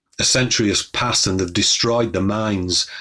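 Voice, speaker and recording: With a Yorkshire accent, a man speaks at a moderate pace in a bright, sharp tone and fairly even intonation, recorded very cleanly against a silent background. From northern England, Wakefield, West Yorkshire. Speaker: poet. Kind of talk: poetry reading.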